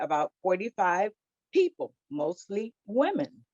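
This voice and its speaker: A woman with an American accent, in a dry, close sound with no echo. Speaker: childcare business owner. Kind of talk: panel discussion.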